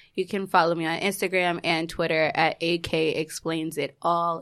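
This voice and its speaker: At a moderate pace, the voice stays monotone with flat intonation in a very clean recording with a silent background. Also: woman. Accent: American. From New York City (Queens). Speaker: podcast guest in a throuple. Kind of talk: casual chat.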